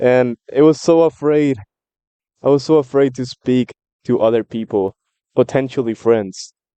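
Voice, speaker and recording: In a dark, mellow tone with a Spanish accent, a man speaks at a moderate pace and medium pitch with ordinary pitch variation and long, frequent pauses, the sound dry and close with no echo. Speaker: book commentary vlogger. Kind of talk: casual monologue. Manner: animated.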